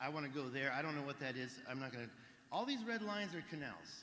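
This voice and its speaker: There is audible room echo as a man speaks at a fairly quick pace in a bright, sharp tone. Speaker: alternative history researcher. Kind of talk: conference presentation. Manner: fast.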